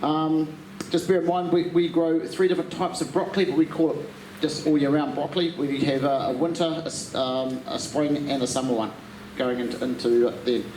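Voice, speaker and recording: A man with a New Zealand accent talks at a fairly quick pace with a fairly high pitch and ordinary pitch variation. Audible room echo and noticeable background noise are present. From New Zealand, South Island. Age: 60s. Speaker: garden centre workshop presenter. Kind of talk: workshop talk to audience. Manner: halting, many fillers.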